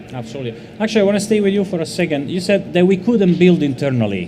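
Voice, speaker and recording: A man with an Italian accent, high-pitched and lively in intonation, at a very fast pace with hardly any pauses, amid noticeable background noise. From Italy. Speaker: panel moderator, marketing lead. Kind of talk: panel discussion.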